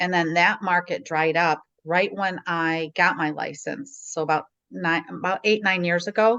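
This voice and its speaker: A woman with an American accent speaks at a moderate pace. Her tone is bright and sharp, her pitch fairly low with ordinary variation. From Chicagoland area, US Midwest. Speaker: real estate agent. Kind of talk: interview. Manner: casual.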